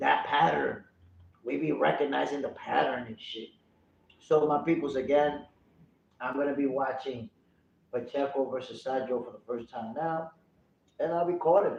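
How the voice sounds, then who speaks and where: At a moderate pace, a man talks with long, frequent pauses and big swings in loudness. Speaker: livestream boxing commentator. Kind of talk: live commentary. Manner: animated.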